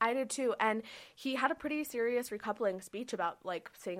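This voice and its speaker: A woman's fairly high, plain, everyday voice with an American accent, fairly quick and lively in intonation. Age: 20s. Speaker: podcast co-host. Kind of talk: casual chat.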